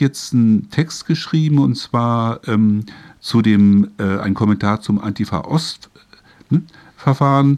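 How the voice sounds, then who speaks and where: A man's voice sits at a medium pitch, captured on a very clean recording against a silent background. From northern Germany, Hamburg. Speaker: radio host. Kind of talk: interview. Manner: halting.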